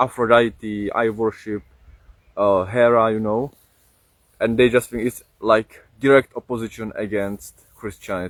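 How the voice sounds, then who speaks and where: A man with a Czech accent, medium pitch, fairly slow pace and monotone, flat intonation, in a dry, close recording with no echo. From Czech Republic. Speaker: streamer. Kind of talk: casual live stream chat. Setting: outdoors. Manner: halting, many fillers.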